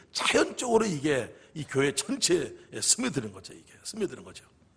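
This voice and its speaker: Animated and quick, a man talks at a fairly quick pace in a high voice with very wide pitch swings. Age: 60s. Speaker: pastor. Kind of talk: sermon. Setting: church.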